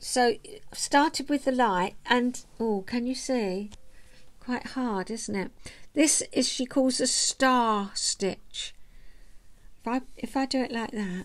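With a high pitch and ordinary pitch variation, a woman talks at a very slow pace with long, frequent pauses. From southeast England. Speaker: vlogger and knitter, retired counsellor. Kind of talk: casual chat to camera. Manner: chatty, relaxed. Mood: warm, chatty, smiling. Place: home room. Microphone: webcam.

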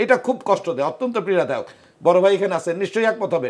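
His voice is high for a man. The intonation is lively. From Dhaka, Bangladesh; Bangladesh. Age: 60s. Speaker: war veteran and party official. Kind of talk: talk show discussion. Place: studio. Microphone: lapel.

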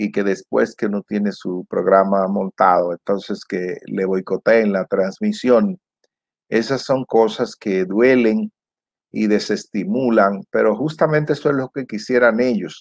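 Over a quiet background, a man with a fairly low voice and ordinary pitch variation speaks at a fairly slow pace, the sound dry with no echo. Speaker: political commentator. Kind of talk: commentary. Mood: frustrated, critical. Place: home room. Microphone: lapel.

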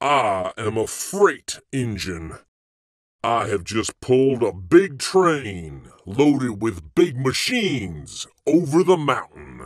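A man bellows in a booming, put-on character voice at medium pitch. He speaks very slowly, his pitch swinging very widely. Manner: bellowing, booming.

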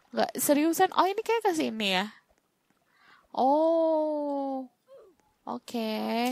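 A woman's high-pitched voice with very wide pitch swings, a very slow pace and long, frequent pauses. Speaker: gaming YouTuber. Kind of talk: gaming let's-play commentary. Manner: animated.

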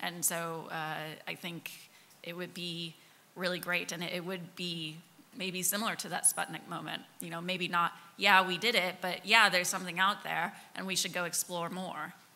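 Speaking at a moderate pace, a woman with an American accent keeps a monotone, flat intonation at a fairly low pitch. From Kansas. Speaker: interaction designer and science hacking organizer; panelist. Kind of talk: panel discussion. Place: hall.

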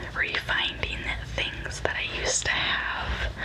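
A woman's voice comes through over loud background noise. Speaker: ASMR creator. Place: home room. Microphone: studio mic.

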